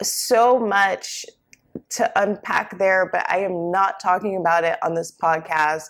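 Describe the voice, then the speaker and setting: A woman with a plain, everyday voice, ordinary pitch variation and a fairly slow pace. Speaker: podcast host and tech product manager. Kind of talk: solo podcast monologue. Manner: casual, conversational with fillers.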